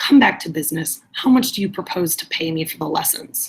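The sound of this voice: A woman puts on a character voice with a husky, rough edge and low pitch. She talks at a fairly quick pace with lively intonation.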